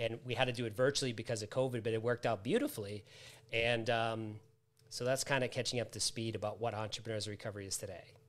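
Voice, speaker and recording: A man speaks at a very fast pace in an American accent. His intonation is monotone and flat. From US Northeast, Massachusetts. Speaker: author, trainer and recovery coach; coach guest. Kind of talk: live interview. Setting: live online video stream. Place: home room.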